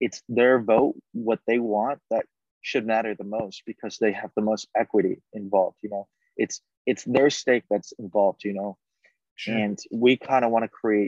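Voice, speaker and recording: A man's medium-pitched voice, a normal speaking voice. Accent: American. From Connecticut, US. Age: 20s. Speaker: crypto startup founder. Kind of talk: interview. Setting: on a train. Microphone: patchy connection.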